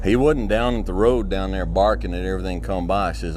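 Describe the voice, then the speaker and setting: A man talks at a fairly quick pace in a calm tone. Music plays in the background. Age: middle-aged. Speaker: motivational speaker. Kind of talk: motivational talk. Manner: calm, conversational.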